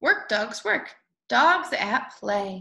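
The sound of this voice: A woman speaks slowly with a fairly high pitch and a bright, sharp tone. Her voice shows vocal fry and big pitch swings.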